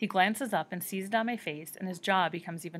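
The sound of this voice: The pitch moves in an ordinary way as someone reads in an unforced voice.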